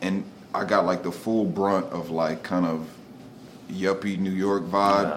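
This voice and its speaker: A man speaks at a moderate pace with a very deep, low pitch. Room echo is audible. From Delaware, Wilmington. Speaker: artist and muralist. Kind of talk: casual interview. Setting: studio.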